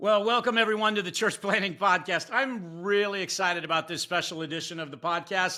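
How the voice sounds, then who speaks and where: A man with a high pitch speaks at a fairly quick pace, with hardly any pauses and ordinary pitch variation. His raised, projected voice has a bright, sharp tone. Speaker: podcast host. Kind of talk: podcast interview questions.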